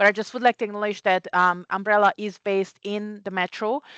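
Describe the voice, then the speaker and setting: A woman with a Hungarian accent speaks at a fairly quick pace and medium pitch, in a dry, close sound with no echo against a quiet background. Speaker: community care CEO. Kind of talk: conference presentation.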